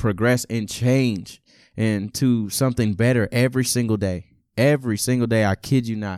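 A man has an ordinary speaking voice at a moderate pace. The recording is very clean with a silent background. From Texas. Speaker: college student and musician. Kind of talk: testimony.

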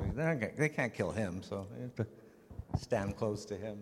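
Fairly low in pitch, this man speaks with lively intonation. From Canada (Vancouver), Czech-born. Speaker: actor. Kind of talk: convention panel Q&A. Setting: stage with audience. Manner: halting, repetitive.

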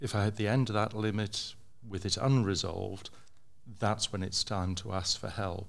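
A man with an English accent speaks at a fairly low pitch in a very clean recording with a silent background. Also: fairly even intonation, moderate pace. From England. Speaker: developer. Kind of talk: panel discussion. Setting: stage with audience.

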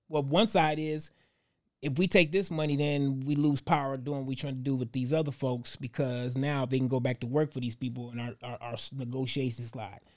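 At a fairly quick pace, a man with an ordinary speaking voice talks at medium pitch with ordinary pitch variation, on a very clean recording with a silent background. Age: 40s. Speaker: actor and podcast co-host. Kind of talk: casual chat.

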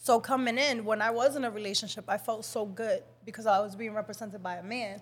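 A woman with a Dominican accent, fairly high-pitched and animated, at a very fast pace with big swings in loudness. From Dominican Republic. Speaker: model and life coach. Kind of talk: casual chat.

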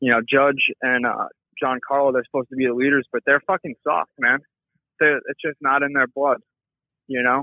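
In a plain, everyday voice, a man with a fairly high pitch speaks at a moderate pace with fairly even intonation. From New York. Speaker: caller. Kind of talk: voicemail rant. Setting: phone voicemail.

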